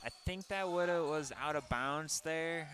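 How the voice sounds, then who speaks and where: With an American accent, a man is talking. He keeps a moderate pace. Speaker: sports color commentator. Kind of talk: live commentary. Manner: casual, hesitant with fillers.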